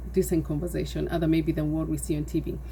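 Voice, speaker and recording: A woman talks at a very fast pace with a Kenyan accent. Audible room echo surrounds her voice. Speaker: nonprofit founder. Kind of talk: personal testimony.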